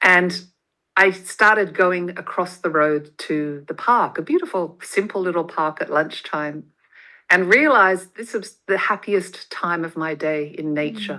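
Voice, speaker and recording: Bright and sharp in tone, a woman talks fairly slowly. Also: medium pitch for a woman, ordinary pitch variation, quiet background. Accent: Australian. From Australia. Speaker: motivational speaker and podcaster. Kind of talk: interview, personal story.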